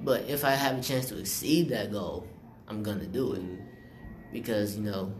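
Amid noticeable background noise and audible room echo, someone with an American accent talks at a moderate pace with ordinary pitch variation. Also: man. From South Carolina, Rock Hill. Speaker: student podcast host. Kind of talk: casual chat.

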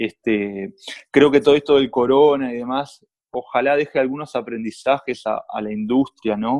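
This man speaks at a moderate pace with a Uruguayan accent, medium pitch and ordinary pitch variation, in a dry, close sound with no echo. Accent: Uruguayan Rioplatense Spanish. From Uruguay, San José. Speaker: film producer. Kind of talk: casual conversation.

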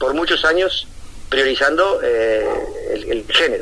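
Noticeable background noise fills the recording. The man in it speaks at a moderate pace. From Uruguay. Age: 40s. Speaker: comedy writer and comedian. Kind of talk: casual radio interview. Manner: halting, many fillers and repetitions.

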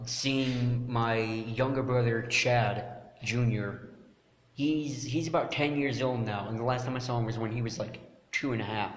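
A man's fairly even intonation amid audible room echo and noticeable background noise. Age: 20s. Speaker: podcast co-host. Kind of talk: casual chat.

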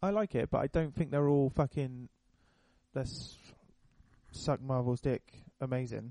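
Speaking in a British accent, a man with a medium pitch and a dark, mellow tone keeps a moderate pace, ordinary pitch variation and very even loudness, leaving long, frequent pauses in a dry, close sound with no echo. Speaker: podcast host. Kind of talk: casual chat.

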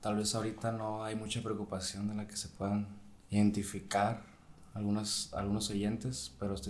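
A man with a fairly low pitch speaks at a fairly quick pace with fairly even intonation, and room echo is audible. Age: 20s. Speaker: medical student. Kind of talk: casual chat.

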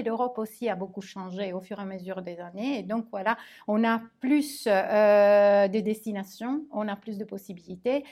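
On a very clean recording with a silent background, a woman with a fairly high pitch and a dark, mellow tone speaks at a fairly slow pace with fairly even intonation. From Italy. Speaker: language teacher. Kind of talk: interview.

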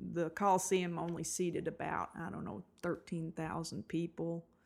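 An unremarkable speaking voice from a woman with an American accent, fairly low in pitch, at a moderate pace. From Eastern Kentucky, US. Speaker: sports fan guest, host's mother. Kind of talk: casual chat. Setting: at home, recorded in guest's house.

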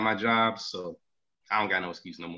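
Here is a man with an American accent. He talks at a fairly quick pace in a bright, sharp tone. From North Carolina, Charlotte. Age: 20s. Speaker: podcast co-host, economist. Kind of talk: casual chat.

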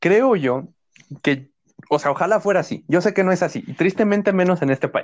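Quiet background, a man with a high pitch at a fairly quick pace and ordinary pitch variation. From Mexico. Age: 20s. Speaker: university student, podcast co-host. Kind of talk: casual chat.

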